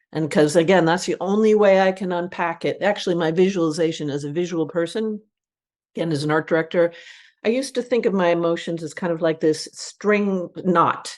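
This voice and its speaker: A woman has a plain, everyday voice, fairly low in pitch with ordinary pitch variation. She talks at a fairly quick pace over a quiet background. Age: 60s. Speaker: advertising creative director and author. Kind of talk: podcast interview. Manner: reflective, with frequent fillers.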